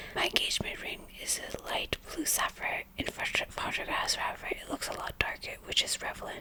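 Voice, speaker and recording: Whispering with hardly any pauses, a woman speaks over noticeable background noise. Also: moderate pace. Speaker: ASMR content creator. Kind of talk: reading Reddit story aloud. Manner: whispered, soft-spoken.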